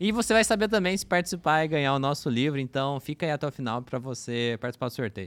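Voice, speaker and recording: Someone talks at a very fast pace in a very clean recording with a silent background. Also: man. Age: 20s. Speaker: podcast host. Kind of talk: casual podcast interview.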